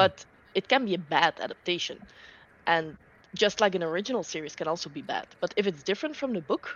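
A woman talks in a normal speaking voice with lively intonation. Her pace is fairly quick. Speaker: book reader. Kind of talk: casual chat. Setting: video call.

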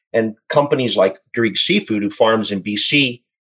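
He has an ordinary speaking voice at a medium pitch. The man talks at a fairly slow pace with ordinary pitch variation. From Saskatchewan, Canada. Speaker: aquaculture company executive. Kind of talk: interview.

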